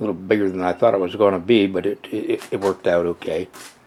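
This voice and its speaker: Over noticeable background noise, a man talks at a fairly quick pace in a fairly low pitch. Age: 70s. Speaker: hobby machinist. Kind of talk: casual shop tour walkthrough. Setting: basement workshop. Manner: halting, many fillers.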